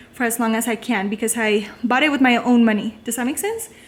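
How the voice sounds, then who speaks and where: A woman with a Spanish accent talks at a fairly quick pace, her pitch high. Her intonation is fairly even, with noticeable background noise behind her. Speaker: elementary school teacher. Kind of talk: casual vlog tour. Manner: casual, lots of fillers.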